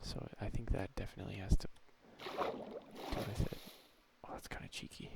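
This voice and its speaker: A soft-spoken man talks at a moderate pace with fairly even intonation. Noticeable background noise sits behind him. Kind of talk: gameplay commentary, video journal.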